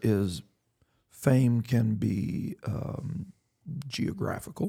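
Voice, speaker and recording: There is a somewhat breathy quality to this man's voice. His tone is dark and mellow. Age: 80s+. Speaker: pastor. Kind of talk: podcast discussion on Bible and faith.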